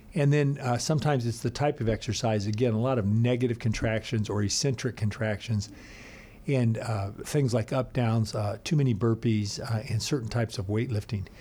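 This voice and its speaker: The voice is somewhat breathy, with a dark, mellow tone and very even loudness. It moves at a fairly quick pace with fairly even intonation. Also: man, medium pitch for a man. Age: 50s. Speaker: physiologist. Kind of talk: interview.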